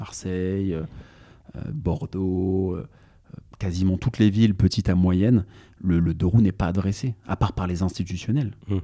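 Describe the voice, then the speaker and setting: A man's very deep, low voice at a fairly slow pace, with ordinary pitch variation and long, frequent pauses. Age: 30s. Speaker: parking investor. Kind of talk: podcast interview. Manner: halting.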